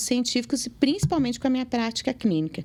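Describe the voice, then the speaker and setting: This woman has an unremarkable speaking voice with a fairly high pitch. She talks at a fairly quick pace. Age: 40s. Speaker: dentist. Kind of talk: interview.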